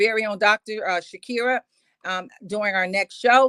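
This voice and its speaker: The speech moves at a moderate pace, with a dry, close sound and no echo. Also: woman. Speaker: business summit co-host. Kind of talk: closing remarks of online business broadcast. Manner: animated.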